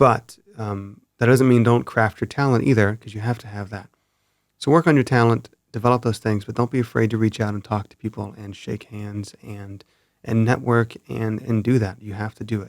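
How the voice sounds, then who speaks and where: Calm and at a moderate pace, a man of medium pitch speaks with fairly even intonation and big swings in loudness in a very clean recording with a silent background. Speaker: cinematographer. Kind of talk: casual chat. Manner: calm, even.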